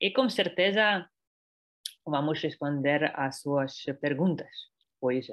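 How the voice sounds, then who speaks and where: Very slowly, a person speaks in a non-native accent. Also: woman. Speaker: export director, webinar presenter. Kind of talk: webinar presentation. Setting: online webinar. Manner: halting, many hesitations.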